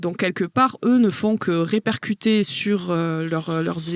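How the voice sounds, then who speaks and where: A woman with a southern French accent, medium pitch, ordinary pitch variation and a fairly slow pace. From southern France. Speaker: university lecturer and researcher. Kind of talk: podcast interview answer.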